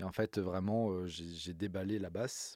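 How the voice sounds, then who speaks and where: Recorded very cleanly with a silent background and a dry, close sound with no echo, a man with a very deep, low pitch and a dark, mellow tone speaks at a moderate pace with fairly even intonation. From Corsica, Ajaccio. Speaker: bassist and music producer. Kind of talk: casual interview. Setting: recording studio.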